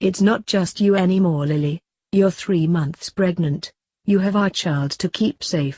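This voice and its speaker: This is a put-on character voice that sounds female. It sits at a middle pitch. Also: moderate pace. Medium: read story.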